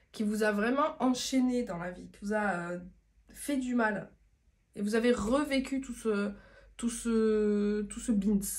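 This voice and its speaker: A woman speaks very slowly with long, frequent pauses and a somewhat breathy voice. Her loudness swings widely while her pitch varies in an ordinary way. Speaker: tarot reader and spiritual medium. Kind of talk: tarot reading video monologue. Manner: casual, chatty with frequent hesitations.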